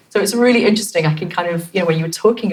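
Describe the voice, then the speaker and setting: A woman's lively intonation comes through with background noise that is noticeable. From London. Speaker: actress. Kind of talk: interview conversation. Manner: hesitant, many fillers.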